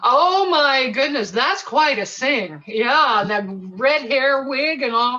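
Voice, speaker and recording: Over noticeable background noise, a woman with an American accent speaks very slowly in a high voice that swings very widely in pitch. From California. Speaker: opera soprano. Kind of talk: casual chat. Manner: animated.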